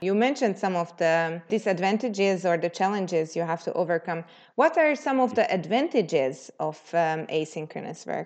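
With a normal speaking voice, a woman talks at a moderate pace in a medium pitch, with lively intonation and hardly any pauses. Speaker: podcast host. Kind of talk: interview.

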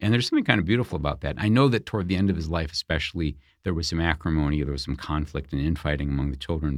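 A man's very deep, low voice with vocal fry and ordinary pitch variation, in a very clean recording with a silent background. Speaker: author and biographer. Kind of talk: interview. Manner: halting.

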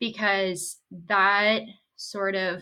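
A woman is speaking. Her tone is bright and sharp. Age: 20s. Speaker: climate activist. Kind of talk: podcast discussion.

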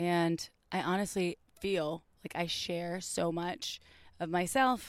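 A woman with an American accent and a fairly low pitch, on a very clean recording with a silent background. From US Midwest. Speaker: sex podcast host. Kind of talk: casual chat. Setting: outdoors.

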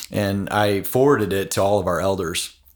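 This is a man with an ordinary speaking voice, fairly low in pitch, with ordinary pitch variation. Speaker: pastor and podcast host. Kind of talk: casual interview conversation. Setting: in person at a conference.

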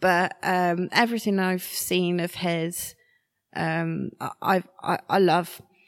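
A woman talks at a very slow pace. She speaks with a West Midlands accent. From Shropshire, England. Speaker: artist. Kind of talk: interview.

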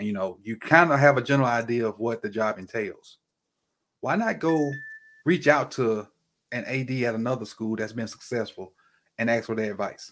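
A man with a medium-pitched voice and ordinary pitch variation talks at a moderate pace, leaving long, frequent pauses. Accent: Mississippi. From Mississippi. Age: 40s. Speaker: football coach and teacher. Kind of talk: casual chat.

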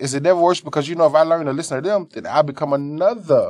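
At a very fast pace, a man talks in an animated tone with ordinary pitch variation. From Arkansas, US South. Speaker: barber and shop owner. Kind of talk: casual chat.

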